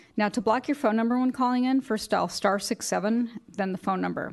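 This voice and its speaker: Over a quiet background, a woman talks fairly quickly in an ordinary speaking voice with ordinary pitch variation. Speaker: executive director running a public board meeting. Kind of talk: formal meeting procedure. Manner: formal.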